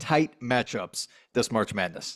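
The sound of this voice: Speaking slowly, a man uses a medium pitch, lively intonation and a fairly bright tone.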